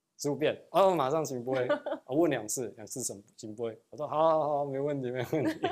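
This man talks at a moderate pace. His pitch sits fairly high. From Taiwan. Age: young. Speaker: real estate agent; interview guest. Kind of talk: interview. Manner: hesitant, many fillers. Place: studio. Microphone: lapel.

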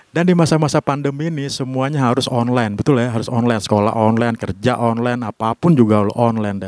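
A man at a very fast pace with hardly any pauses, in a dry sound with no echo. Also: ordinary pitch variation. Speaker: stand-up comedian. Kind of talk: stand-up comedy set, conversational storytelling with punchlines and audience laughter. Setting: stage with audience. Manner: animated, playful, punchy comic timing with pauses; casual, slangy, self-deprecating. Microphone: handheld.

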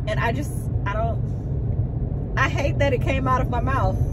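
A woman is speaking. Loud music plays behind her. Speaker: vlogger, teacher telling story. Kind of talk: casual vlog chat. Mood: amused, animated storytelling. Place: car. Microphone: phone near.

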